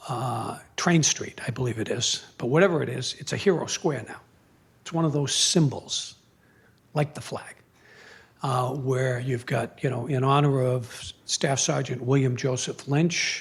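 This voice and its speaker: At a fairly slow pace, a man speaks at a medium pitch with fairly even intonation and a somewhat breathy sound. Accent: American. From Boston area, Massachusetts. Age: 60s. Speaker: retired Marine colonel and former prosecutor. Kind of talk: public talk. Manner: halting, many fillers.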